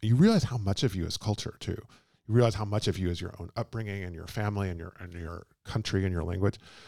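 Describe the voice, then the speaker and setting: In a very clean recording with a silent background, a man with a Texan accent and a dark, mellow tone talks at a very fast pace, with ordinary pitch variation and big swings in loudness. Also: fairly low pitch for a man. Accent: Texan American English. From Texas (Houston). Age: 40s. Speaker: biographer and translator. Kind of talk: live book talk conversation. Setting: bookshop event with audience.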